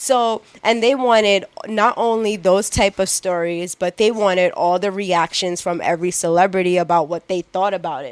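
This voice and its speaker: With a Long Island accent, the speaker sounds animated and moves at a moderate pace. Pitch varies in an ordinary way. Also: woman, medium pitch for a woman. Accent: New York (Long Island). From Long Island, New York. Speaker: publicist and former entertainment reporter. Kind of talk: casual chat.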